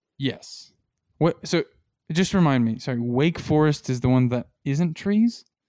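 Recorded very cleanly against a silent background, a man talks at a fairly slow pace. He has an ordinary speaking voice with fairly high pitch. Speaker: guest, host's younger brother. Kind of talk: casual banter, joking predictions. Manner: joking, playful, deadpan.

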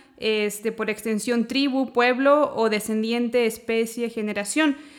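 The recording is very clean, with a silent background. A woman speaks slowly-ish, at a fairly slow pace, in a fairly high pitch with fairly even intonation. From Chile. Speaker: theology teacher and counselor. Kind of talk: casual chat.

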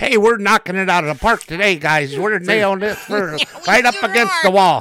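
Against noticeable background noise, a man with a high pitch uses a raised, projected voice at a moderate pace with ordinary pitch variation. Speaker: podcast co-host. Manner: joking, casual.

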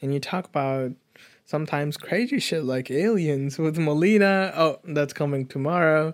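A man talks in a normal speaking voice at a moderate pace. His pitch is fairly high with ordinary variation, on a very clean recording with a silent background. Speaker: podcast co-host. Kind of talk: casual chat. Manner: relaxed, joking.

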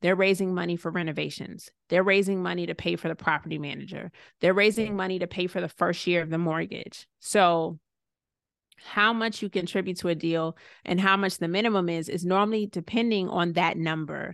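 A woman with a plain, everyday voice and an American accent, at a fairly quick pace with fairly even intonation, over a quiet background. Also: fairly low pitch for a woman. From Georgia, US (Savannah, Stone Mountain area). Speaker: real estate investor and insurance professional. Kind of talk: interview.

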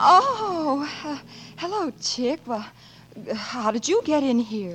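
A woman puts on a character voice, pitched high with lively intonation and a fairly bright tone. She speaks slowly over faint background music.

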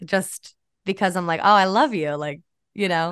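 An ordinary speaking voice with an American accent, ordinary pitch variation and a moderate pace over a quiet background. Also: woman. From upstate New York, near Albany. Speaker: social media comedian and actor. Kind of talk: casual interview chat.

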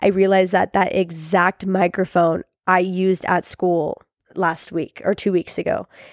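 A woman's medium-pitched voice with an animated, enthusiastic tone, captured on a very clean recording with a silent background. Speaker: podcast host. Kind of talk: casual chat, pep talk. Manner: casual, profane.

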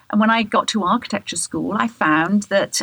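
A woman with a southern English accent, speaking at a fairly slow pace. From England, Bath. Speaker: radio host and architecture journalist. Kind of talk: interview.

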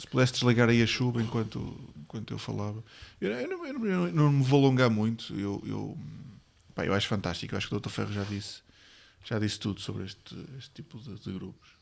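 A man with a medium pitch speaks at a moderate pace and ordinary pitch variation. His loudness swings widely. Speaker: podcast co-host. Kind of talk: casual chat. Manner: halting, many repetitions.

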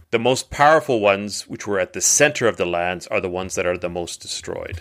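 Lively in intonation, a man speaks at a fairly quick pace in a low pitch with a fairly bright tone.

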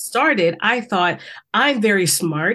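A woman with an American accent speaks at a fairly slow pace and medium pitch, her tone animated, bright and sharp, with lively intonation. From US South, South Carolina. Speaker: empowerment coach. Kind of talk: interview.

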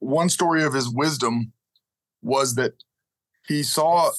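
At a fairly slow pace, an ordinary speaking voice carries ordinary pitch variation. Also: man. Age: 50s. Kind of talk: interview. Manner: storytelling.

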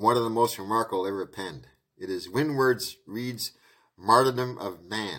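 Over a quiet background, the speaker reads aloud in a natural voice with ordinary pitch variation.

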